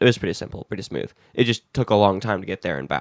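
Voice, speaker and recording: Recorded with a dry, close sound and no echo, a man talks at a very fast pace. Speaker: podcast co-host. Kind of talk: casual chat.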